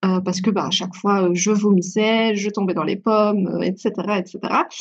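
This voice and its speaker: A medium-pitched woman at a fairly quick pace, with monotone, flat intonation. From Belgium. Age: 20s. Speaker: beauty and wellness consultant, endometriosis patient. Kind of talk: podcast interview, personal testimony. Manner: hesitant, many filler words.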